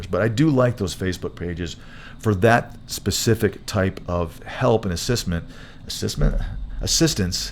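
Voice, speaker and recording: A man's raspy, put-on character voice, fairly low in pitch, with ordinary pitch variation at a moderate pace. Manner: casual advice-giving.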